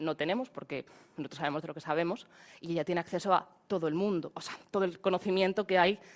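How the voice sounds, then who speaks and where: A woman is speaking. Her pace is very fast. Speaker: AI trainer. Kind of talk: webinar presentation. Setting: online webinar. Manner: halting.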